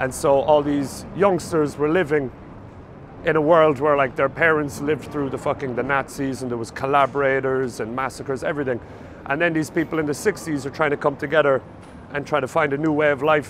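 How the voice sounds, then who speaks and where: Noticeable background noise surrounds a man with an Irish accent who speaks at a fairly high pitch with fairly even intonation. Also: fairly quick pace. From Ireland, Cork City. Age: 30s. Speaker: stand-up comedian. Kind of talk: casual documentary talk.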